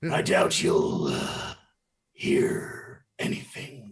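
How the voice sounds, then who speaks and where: In a put-on character voice, a man sounds raspy and high-pitched. He speaks at a very slow pace. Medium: actual play.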